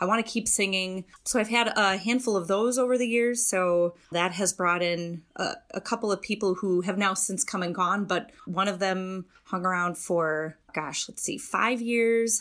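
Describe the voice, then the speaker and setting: A plain, everyday voice from a woman at medium pitch, with ordinary pitch variation and a fairly slow pace. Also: hardly any pauses. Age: 40s. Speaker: a cappella group founder and league president. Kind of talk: casual interview.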